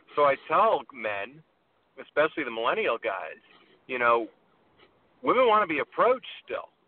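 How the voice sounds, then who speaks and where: Taking long, frequent pauses, a man speaks at a fairly high pitch with very wide pitch swings. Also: moderate pace. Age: 50s. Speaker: dating coach. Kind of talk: casual chat. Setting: phone call from a car.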